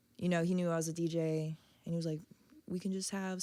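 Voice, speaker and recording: Quiet and fairly low-pitched, a woman talks with monotone, flat intonation. The recording is very clean, with a silent background. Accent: American. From Virginia Beach, Virginia. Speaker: DJ and visual artist. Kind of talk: casual interview chat. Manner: low, quiet.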